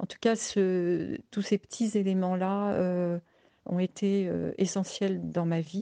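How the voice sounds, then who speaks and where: A woman speaks very slowly at medium pitch, her intonation monotone and flat. Her tone is dark and mellow, and the sound is dry and close with no echo. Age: 70s. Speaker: interviewee sharing a personal story. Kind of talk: personal testimony. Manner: hesitant, with fillers.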